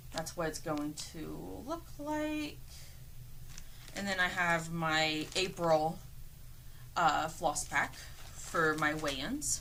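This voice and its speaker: Amid audible room echo, a woman speaks at a very slow pace with long, frequent pauses. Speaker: cross stitcher and quilter vlogger. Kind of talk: casual show-and-tell vlog. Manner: halting, with fillers.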